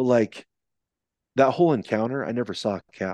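In a dry, close recording with no echo and a quiet background, a man with a normal speaking voice, medium pitch and an American accent talks at a fairly quick pace. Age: 40s. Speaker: elk hunter. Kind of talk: casual chat.

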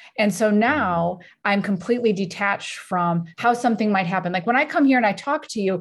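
A woman's fairly high, somewhat breathy voice, animated in tone with lively intonation, at a fairly quick pace on a very clean recording with a silent background. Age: 50s. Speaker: motivational speaker and author. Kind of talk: casual chat.

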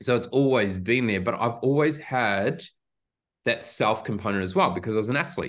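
Against a quiet background, a man with a New Zealand accent speaks at a moderate pace in a medium pitch, with lively intonation. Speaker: high performance leadership expert. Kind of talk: casual interview.

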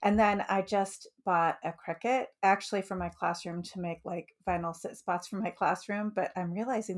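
Speaking at a fairly quick pace, a woman with an American accent uses an ordinary speaking voice at a medium pitch with fairly even intonation, in a very clean recording with a silent background. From US Midwest, Metro Detroit, Michigan. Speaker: elementary music teacher. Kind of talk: podcast interview.

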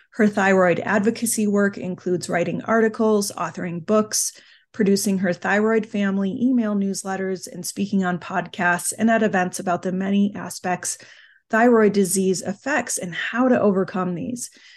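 A woman speaks in a plain, everyday voice at medium pitch and a moderate pace. Her intonation is fairly even, and the background is quiet. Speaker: podcast host. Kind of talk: casual interview chat.

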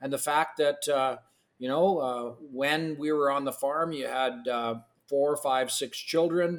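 In a Canadian accent, a man speaks at a moderate pace with a fairly high pitch. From Western Canada. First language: Ukrainian. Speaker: agrologist and entrepreneur. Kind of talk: podcast interview.

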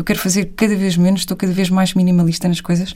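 This woman has a dark, mellow tone, a somewhat breathy quality and a medium pitch. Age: 30s. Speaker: television producer and business co-founder. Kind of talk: casual chat.

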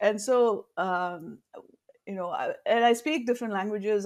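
In a very clean recording with a silent background, a woman with an Indian accent speaks at a moderate pace with ordinary pitch variation. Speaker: leadership coach. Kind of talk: interview.

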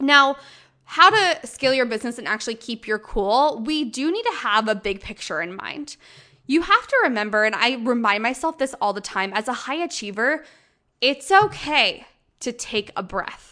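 A woman speaks at a high pitch and moderate pace in an animated tone. Her bright, sharp voice has lively intonation. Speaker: mindset coach and podcast host. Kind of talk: solo podcast monologue, motivational. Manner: high energy, animated.

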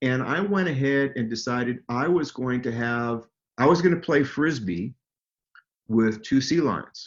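A man with an American accent speaks at a fairly slow pace in a plain, everyday voice, his medium pitch showing ordinary variation. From Southern California. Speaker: animal trainer and falconer. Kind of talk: interview, storytelling.

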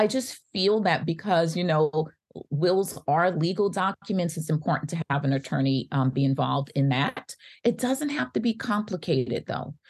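A woman with an American accent and an ordinary speaking voice talks at a moderate pace in a fairly low pitch with lively intonation. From New York (Bronx). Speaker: physician and legal advocate. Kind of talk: interview chat.

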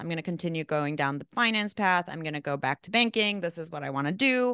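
At a moderate pace, a woman speaks with a fairly low pitch and a bright, sharp tone over a quiet background. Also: dry, close sound with no echo. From El Salvador. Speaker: CEO of a women's professional network. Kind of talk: interview.

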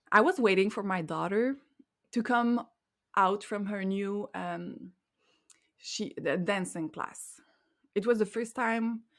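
A woman with a Quebec accent, medium in pitch, at a fairly slow pace with ordinary pitch variation, on a very clean recording with a silent background. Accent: French Québécois accent in English. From Quebec, Montreal. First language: French. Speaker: life coach and podcast host. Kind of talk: solo podcast monologue. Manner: halting, searching for words.

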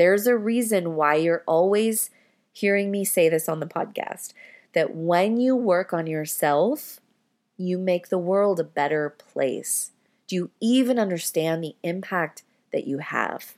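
At a medium pitch, a woman talks at a fairly slow pace with ordinary pitch variation on a very clean recording with a silent background. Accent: American. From California. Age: 30s. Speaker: life coach and podcast host. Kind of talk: personal testimony monologue.

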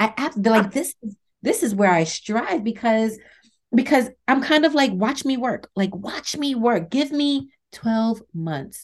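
A woman speaks at a fairly high pitch and a fairly slow pace, with lively intonation. The background is quiet. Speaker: nurse leader. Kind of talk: interview. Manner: calm, confident.

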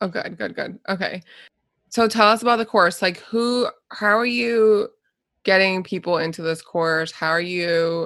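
Over a quiet background, a plain, everyday voice moves at a fairly slow pace with ordinary pitch variation. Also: woman, medium pitch for a woman. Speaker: podcast host and occupational therapist. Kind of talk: casual interview chat.

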